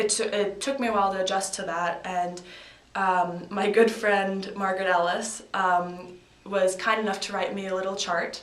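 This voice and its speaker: Speaking in a slight Canadian accent with monotone, flat intonation, a woman is heard amid noticeable background noise and audible room echo. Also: medium pitch for a woman, moderate pace. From Canada, Victoria, British Columbia. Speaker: college field hockey player. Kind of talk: casual interview.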